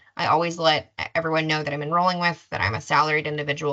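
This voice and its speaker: Very deep and low, a woman's voice carries a bright, sharp tone with vocal fry and ordinary pitch variation. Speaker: insurance enrollment specialist. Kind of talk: webinar presentation. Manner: fast.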